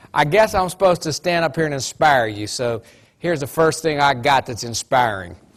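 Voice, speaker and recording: This man talks at a fairly quick pace in an animated tone, with an Appalachian accent. His fairly high pitch carries lively intonation, and the recording is very clean with a silent background. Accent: Appalachian twang. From West Virginia. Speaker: motivational speaker. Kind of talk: motivational talk.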